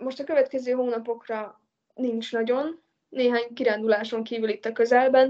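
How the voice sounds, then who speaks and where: The woman's high voice holds fairly even intonation as she talks at a moderate speed. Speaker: traveller and hitchhiker. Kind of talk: interview.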